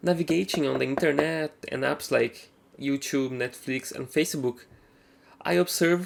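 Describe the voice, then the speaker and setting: The speaker talks at a fairly slow pace with a Brazilian accent. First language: Portuguese. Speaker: gaming tech youtuber. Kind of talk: product review. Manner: casual, slightly halting.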